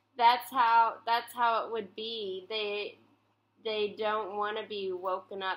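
A woman talks very slowly while light background noise carries on behind her. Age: 20s. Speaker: comedian and video streamer. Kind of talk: casual chat. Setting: call. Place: home room. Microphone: webcam.

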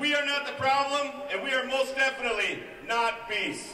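An American man with an extremely high pitch raises and projects his voice over crowd noise in the background. He keeps a moderate pace. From Minnesota. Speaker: highway maintenance worker; speaker. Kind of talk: rally speech. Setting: outdoors at rally. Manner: indignant, rousing. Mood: defiant, indignant. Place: street.

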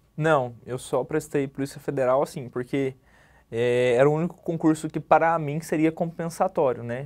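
Over a quiet background, a man with a fairly high pitch talks at a moderate pace with fairly even intonation. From Brazil, Minas Gerais (Araújos); Minas Gerais, Brazil. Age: 20s. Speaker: police clerk, exam candidate; candidate. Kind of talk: interview. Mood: calm, reflective. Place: studio. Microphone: lapel.

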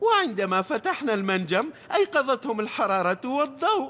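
A man performs a cartoonish character voice at an extremely high pitch, bright and sharp in tone. He moves at a fairly quick pace with big pitch swings.

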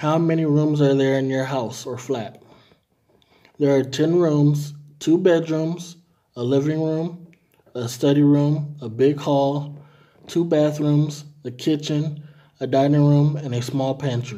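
With long, frequent pauses, a man speaks at a fairly slow pace in a dark, mellow tone and fairly even intonation. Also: fairly high pitch for a man. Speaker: language tutor. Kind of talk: reading aloud. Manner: formal. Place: home room. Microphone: phone near.

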